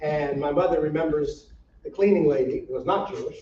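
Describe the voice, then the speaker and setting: This man has a fairly high voice and speaks very fast. His intonation stays fairly even. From US Midwest, Saint Paul, Minnesota. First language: Yiddish. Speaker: rabbi. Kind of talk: public talk. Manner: casual, with many fillers and repetitions.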